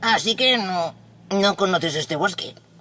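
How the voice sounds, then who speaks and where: A put-on character voice at a moderate pace. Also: female-sounding voice, medium pitch for a woman. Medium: read story. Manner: kind, lively, chirping.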